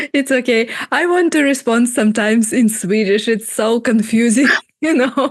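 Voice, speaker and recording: A woman with a Russian accent speaks at a high pitch, with ordinary pitch variation and very even loudness. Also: moderate pace. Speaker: podcast host. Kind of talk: casual interview chat. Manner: halting, many fillers.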